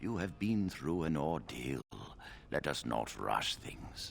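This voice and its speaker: Through clear background noise, a man performs a put-on character voice at a very deep, low pitch. His pitch swings very widely as he speaks at a fairly slow pace. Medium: video game. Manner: measured, formal.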